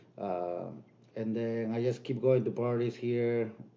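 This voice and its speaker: A man's medium-pitched voice with fairly even intonation and a Spanish accent. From Peru. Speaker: DJ and music producer. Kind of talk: casual interview.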